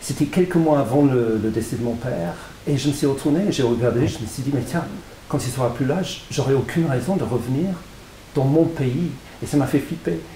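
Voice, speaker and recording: A man with a fairly high voice talks at a moderate pace with ordinary pitch variation. Noticeable background noise and audible room echo are present. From England. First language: English (speaking French). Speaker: author. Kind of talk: interview. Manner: halting, frequent repetitions.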